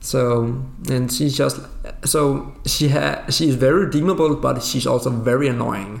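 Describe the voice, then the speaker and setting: A man at medium pitch with a non-native accent and ordinary pitch variation, over noticeable background noise. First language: Danish. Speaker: guest, gaming fan. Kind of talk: casual chat.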